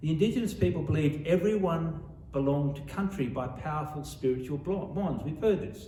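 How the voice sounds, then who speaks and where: A man with an Australian accent speaks at a fairly quick pace in a fairly high pitch, with ordinary pitch variation and audible room echo. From Sydney, Australia. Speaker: author. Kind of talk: author talk. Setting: library talk with audience.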